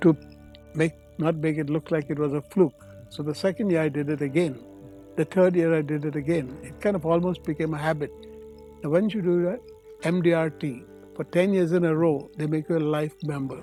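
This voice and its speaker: Over music in the background, a man with a fairly high pitch and fairly even intonation talks at a fairly quick pace, broken by long, frequent pauses. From India. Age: 80s+. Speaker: retired finance and insurance veteran, real estate investor. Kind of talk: interview answer.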